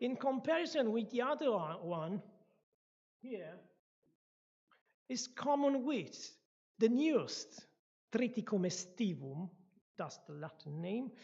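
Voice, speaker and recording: A somewhat breathy woman at fairly high pitch, with very wide pitch swings, big swings in loudness, long, frequent pauses and a fairly slow pace. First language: not English, not even second language. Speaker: guest speaker at church. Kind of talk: lecture. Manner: halting, with restarts.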